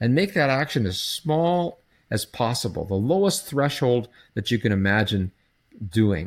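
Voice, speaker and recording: A plain, everyday voice with lively intonation moves at a fairly slow pace on a very clean recording with a silent background. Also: man. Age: 60s. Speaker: psychology professor and procrastination researcher. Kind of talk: podcast interview.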